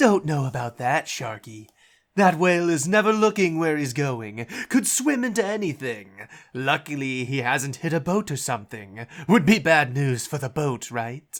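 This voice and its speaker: On a very clean recording with a silent background, a man puts on a character voice, fairly high in pitch, at a moderate pace. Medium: audio drama. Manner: casual, cocky.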